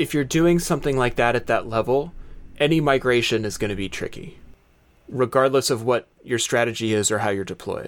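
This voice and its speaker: With a normal speaking voice, a man talks at a fairly quick pace, his medium pitch showing ordinary variation. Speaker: podcast host. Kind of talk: casual chat. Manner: chatty, laughs often.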